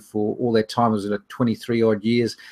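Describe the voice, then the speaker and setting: A man speaks at a very fast pace with a New Zealand accent. His medium-pitched voice is monotone, with flat intonation. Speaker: online business trainer. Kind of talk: webinar presentation. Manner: hesitant with fillers.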